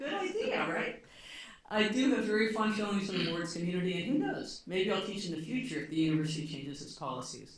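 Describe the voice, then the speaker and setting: Very fast speech over noticeable background noise. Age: 60s. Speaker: retired law professor. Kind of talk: conference talk; reading aloud. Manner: halting.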